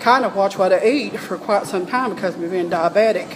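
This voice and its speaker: A woman speaks at a moderate pace in a medium pitch, with noticeable background noise. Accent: Southern US. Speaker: vlogger. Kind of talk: casual monologue.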